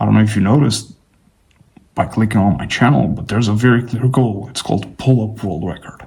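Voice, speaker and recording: This man talks at a fairly quick pace with ordinary pitch variation. His fairly low voice carries vocal fry. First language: not English. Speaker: fitness vlogger. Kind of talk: casual vlog monologue. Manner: casual, rambling with fillers.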